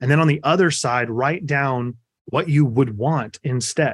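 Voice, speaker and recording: A man with an American accent, fairly high in pitch, at a moderate pace and with fairly even intonation, an ordinary speaking voice, on a very clean recording with a silent background. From Kansas. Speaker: life and business coach. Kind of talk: podcast interview.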